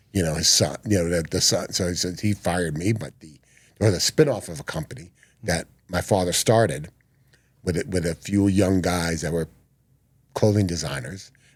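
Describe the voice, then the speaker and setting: This man has a very deep, low voice and an American accent, speaking at a moderate pace with long, frequent pauses and ordinary pitch variation. The recording is very clean, with a silent background. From New York. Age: 60s. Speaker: rock photographer. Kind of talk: podcast interview. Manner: halting, many fillers.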